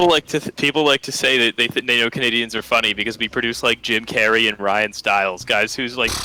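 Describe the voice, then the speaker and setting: A man talks with fairly even intonation. Noticeable background noise sits behind him. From Canada, Toronto area. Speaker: podcast host, guest on stream. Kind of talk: casual chat. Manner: halting, many fillers.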